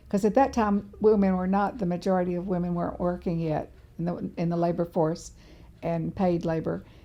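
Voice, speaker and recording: Her tone dark and mellow, a woman with a fairly low pitch talks at a fairly quick pace with fairly even intonation. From Tennessee. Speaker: author and former legislative fellow. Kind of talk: oral history interview answer.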